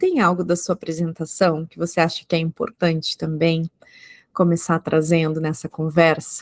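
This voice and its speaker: A woman with an ordinary speaking voice and fairly low pitch talks at a moderate pace, the sound dry and close with no echo. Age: 30s. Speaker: psychologist podcast host. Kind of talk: podcast interview.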